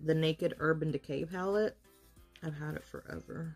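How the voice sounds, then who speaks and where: Over faint background music, a woman with a fairly low pitch speaks at a moderate pace. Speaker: makeup vlogger. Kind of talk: tutorial. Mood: playful, relaxed. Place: home room. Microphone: phone near.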